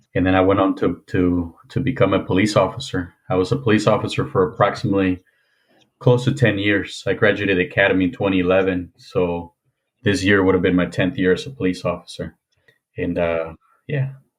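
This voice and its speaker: A somewhat breathy man's voice in a Spanish accent, fairly quick in pace, with ordinary pitch variation. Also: fairly low pitch for a man. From Mexico, moved to Indiana at 13. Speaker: former police officer. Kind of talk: podcast interview.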